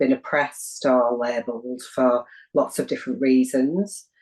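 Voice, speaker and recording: The speaker has a northern English accent and a fairly slow pace. The intonation is lively. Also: woman. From northern England, Wigan. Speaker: community development practitioner. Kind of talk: interview.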